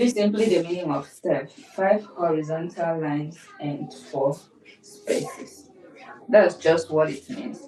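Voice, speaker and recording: Over noticeable background noise, a woman talks at a fairly slow pace with a fairly low pitch. Her intonation is lively and her loudness swings widely. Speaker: music teacher. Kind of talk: lecture. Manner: repetitive.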